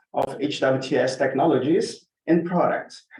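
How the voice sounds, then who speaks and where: The man's voice sits fairly high. Audible room echo surrounds it. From Brazil. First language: Portuguese. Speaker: water researcher and presenter. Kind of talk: conference presentation.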